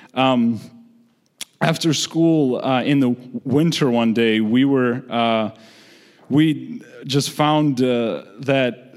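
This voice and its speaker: The speaker is a man. He talks with a Georgian accent. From Republic of Georgia. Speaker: storyteller. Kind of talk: storytelling on stage. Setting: stage with audience.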